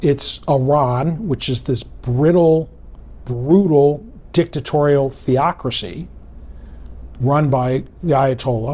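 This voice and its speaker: A man with a fairly high voice speaks with some breathiness, a dark, mellow tone and ordinary pitch variation. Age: 60s. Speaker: political analyst. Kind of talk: interview.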